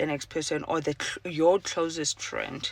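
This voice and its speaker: A woman's moderately paced speech is heard on a very clean recording with a silent background. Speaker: podcaster. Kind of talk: casual personal monologue. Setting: in a car. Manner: halting, many fillers.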